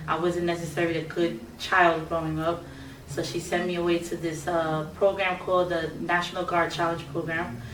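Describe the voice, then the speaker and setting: Over noticeable background noise and audible room echo, a woman speaks in a fairly low pitch with monotone, flat intonation at a moderate pace. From New York City, Brooklyn (Bushwick). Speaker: singer. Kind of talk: interview.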